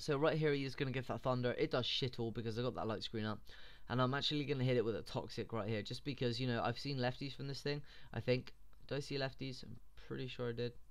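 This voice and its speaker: Very fast speech from a man at a medium pitch with fairly even intonation. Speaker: gaming commentator. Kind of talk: video game battle commentary. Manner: rambling, casual.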